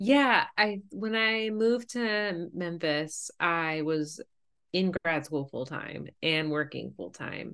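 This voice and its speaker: In an unremarkable speaking voice, a woman talks with lively intonation at a fairly low pitch. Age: 30s. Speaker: pediatric music therapist. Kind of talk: casual interview chat.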